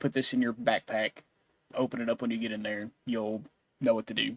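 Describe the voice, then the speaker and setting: Using a put-on character voice, a man speaks at medium pitch and a fairly quick pace. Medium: actual play. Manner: terse, secretive.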